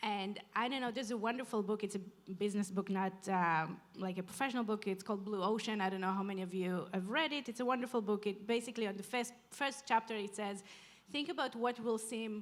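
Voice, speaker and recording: A woman speaks at a fairly quick pace with hardly any pauses, medium in pitch and with ordinary pitch variation. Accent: non-native. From outside Canada. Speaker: urban planner, panelist. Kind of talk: panel discussion.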